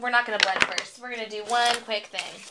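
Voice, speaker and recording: Noticeable background noise runs under this recording. A woman talks at a fairly quick pace with a fairly high pitch. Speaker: crafting video host. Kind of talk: tutorial. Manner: casual, upbeat.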